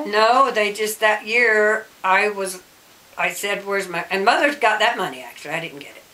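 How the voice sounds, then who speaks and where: Against noticeable background noise, a woman talks at a medium pitch with ordinary pitch variation and big swings in loudness. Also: moderate pace. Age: 70s. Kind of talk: interview answer. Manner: casual, conversational.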